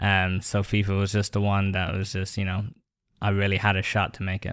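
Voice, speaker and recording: A man with an American accent talks fairly quickly in a fairly low, monotone, flat voice on a very clean recording with a silent background. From Ireland. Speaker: esports player. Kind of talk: podcast interview.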